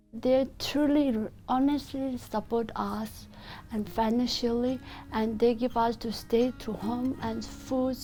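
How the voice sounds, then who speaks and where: With a non-native accent, a woman of high pitch speaks very slowly in a dark, mellow tone with monotone, flat intonation. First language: not English. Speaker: women's shelter resident. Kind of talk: testimony. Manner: halting.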